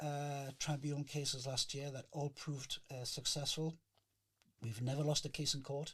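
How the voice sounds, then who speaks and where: Somewhat breathy, a man with a Geordie accent speaks in a fairly high pitch with monotone, flat intonation. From northern England, Newcastle. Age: 60s. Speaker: chef and union founder. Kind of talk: interview. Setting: podcast. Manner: hesitant, many fillers.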